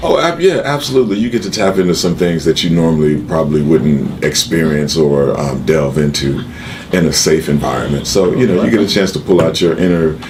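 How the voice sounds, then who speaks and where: Over noticeable background noise and audible room echo, a man with an American accent talks at a fairly quick pace in a very deep, low pitch, with ordinary pitch variation and very even loudness. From Chicago. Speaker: actor and jazz singer. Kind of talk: casual interview. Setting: studio.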